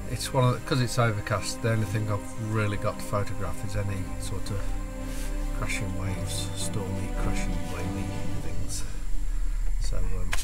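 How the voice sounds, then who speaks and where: Loud music plays in the background as a man talks at a moderate pace with long, frequent pauses. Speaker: photographer vlogger. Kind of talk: casual vlog chat. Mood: doubtful, mildly disappointed. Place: car. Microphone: phone near.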